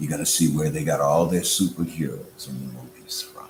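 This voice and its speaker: The man's pace is moderate as he talks. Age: 60s. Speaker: religious and political speaker. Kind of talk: motivational speech. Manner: animated.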